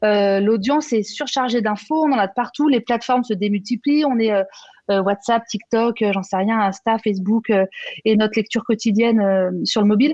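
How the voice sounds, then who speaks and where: Her fairly high pitch shows ordinary variation, her loudness stays very even, and the woman's sound is dry and close with no echo. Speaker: conference moderator. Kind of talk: conference panel discussion. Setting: trade show conference. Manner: fast.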